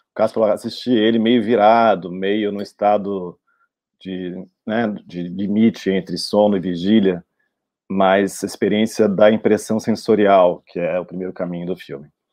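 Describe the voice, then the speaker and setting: A man with a plain, everyday voice speaks at a fairly slow pace and a fairly low pitch. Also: fairly even intonation. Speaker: film director. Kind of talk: panel discussion. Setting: video call.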